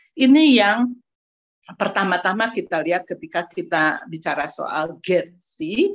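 A woman with lively intonation and a very slow pace, against a quiet background. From Indonesia, West Java (Ciamis); West Java, Indonesia. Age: 60s. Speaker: gender researcher; presenter. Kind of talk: online seminar presentation. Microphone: video call.

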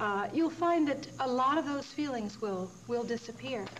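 Against light background noise, a woman speaks at a moderate pace with lively intonation. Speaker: yoga show host. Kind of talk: tutorial. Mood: warm, encouraging. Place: studio.

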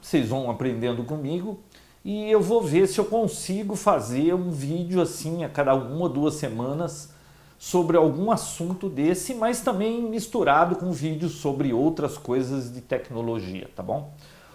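A man's lively intonation at a fairly slow pace. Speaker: tech channel host. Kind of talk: casual vlog chat. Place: home room. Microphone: lapel.

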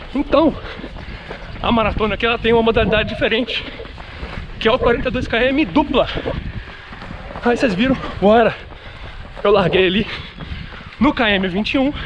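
A man speaks in an extremely high voice, keeping his loudness very even. Long, frequent pauses break his speech over noticeable background noise. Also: ordinary pitch variation, moderate pace. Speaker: running vlogger. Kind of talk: casual vlog chat. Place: street. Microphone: phone near.

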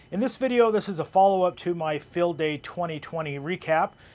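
A moderate pace with ordinary pitch variation. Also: man, high pitch for a man. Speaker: radio hobby podcaster. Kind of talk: tutorial. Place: garden.

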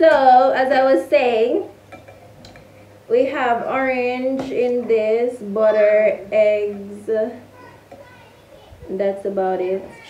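Amid audible room echo and light background noise, a woman speaks very slowly with ordinary pitch variation. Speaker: home baking vlogger. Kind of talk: casual vlog chat. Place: kitchen. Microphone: camera far.

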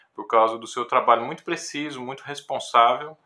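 A man speaks with ordinary pitch variation. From Brazil. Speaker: music professor and classical guitarist; music professor. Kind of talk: educational talk to camera. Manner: hesitant, with frequent filler words. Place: home room. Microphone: phone near.

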